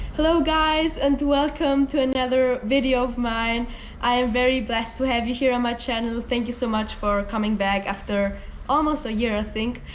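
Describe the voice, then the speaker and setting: Noticeable background noise and audible room echo accompany a woman speaking at a high pitch. She keeps a moderate pace with ordinary pitch variation. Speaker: vlogger. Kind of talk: casual vlog.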